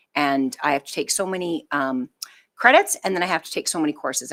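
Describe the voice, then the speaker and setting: A woman speaks at a fairly quick pace in a very deep, low pitch. The sound is dry and close with no echo, and the recording is very clean with a silent background. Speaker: school superintendent. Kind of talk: board meeting report. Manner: fast; hesitant, many fillers.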